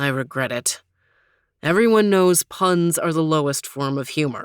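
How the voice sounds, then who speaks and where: In a put-on character voice, a woman growls at a very deep, low pitch, sounding confident at a moderate pace on a very clean recording with a silent background. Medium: read story. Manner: confident, teasing.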